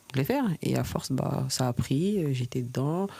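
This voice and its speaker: The woman speaks at a moderate pace. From Paris region, Seine-et-Marne. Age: 20s. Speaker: professional football player. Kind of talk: podcast interview.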